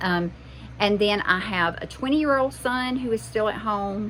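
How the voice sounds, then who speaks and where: Speaking in a Southern US accent, a woman with medium pitch talks at a fairly slow pace with lively intonation. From US South. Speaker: homesteading mom vlogger. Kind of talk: casual vlog monologue. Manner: halting, with fillers.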